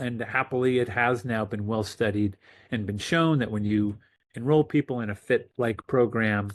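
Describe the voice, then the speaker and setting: A man with an American accent and a medium pitch speaks at a fairly quick pace in an ordinary speaking voice, with ordinary pitch variation. The sound is dry and close with no echo, over a quiet background. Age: 60s. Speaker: physician. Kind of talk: interview. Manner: casual, with filler words.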